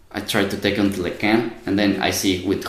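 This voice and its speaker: Someone with a Spanish accent is heard amid audible room echo and noticeable background noise. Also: man. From Mexico. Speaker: university student. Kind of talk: casual interview.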